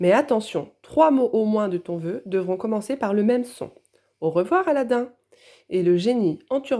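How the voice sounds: A natural reading voice carries lively intonation. The background is quiet.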